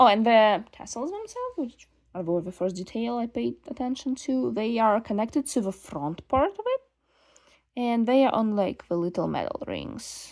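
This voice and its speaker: The woman's intonation is lively. Her voice sits fairly high. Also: moderate pace. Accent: non-native. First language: not English. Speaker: doll collector vlogger. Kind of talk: casual unboxing monologue. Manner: casual, halting with fillers.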